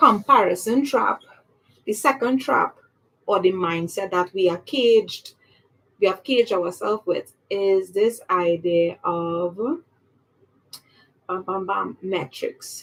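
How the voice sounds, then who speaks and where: A woman's medium-pitched voice at a very slow pace, with lively intonation and long, frequent pauses. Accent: Trinidadian. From Trinidad. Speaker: public speaking coach. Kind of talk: livestream talk. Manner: animated.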